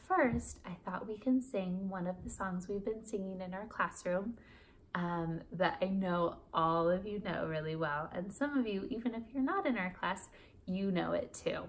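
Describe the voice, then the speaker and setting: A somewhat breathy woman's voice with ordinary pitch variation, over light background noise. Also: moderate pace. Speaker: teacher. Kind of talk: read-aloud lesson for children. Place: home room. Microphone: phone near.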